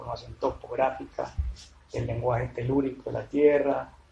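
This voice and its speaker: Noticeable background noise is audible throughout. The speaking pace is fairly slow. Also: man. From Medellín, Colombia. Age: 30s. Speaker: painter and sculptor, former architect. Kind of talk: interview. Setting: artist's studio.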